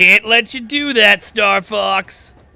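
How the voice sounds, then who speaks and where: Raising and projecting his voice, a man puts on a high-pitched character voice. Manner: smug, taunting.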